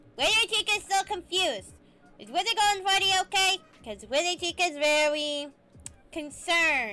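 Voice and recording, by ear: This is a cartoonish character voice that sounds female, pitched extremely high for a woman. The pace is moderate.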